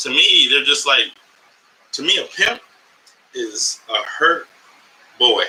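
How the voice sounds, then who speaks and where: This man talks in an American accent, keeping a moderate pace. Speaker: comedian and podcast host. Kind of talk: live podcast monologue. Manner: animated.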